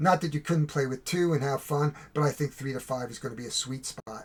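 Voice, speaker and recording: This man speaks at a fairly high pitch. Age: 60s. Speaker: board game reviewer. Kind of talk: game review and tutorial. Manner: casual, halting with fillers.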